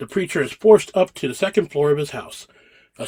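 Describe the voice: Plain reading aloud of a text.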